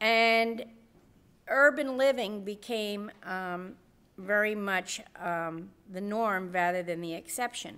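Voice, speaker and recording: A woman's bright, sharp voice at medium pitch, with an American accent, on a very clean recording with a silent background. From US Northeast. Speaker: nursing professor. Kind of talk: conference presentation.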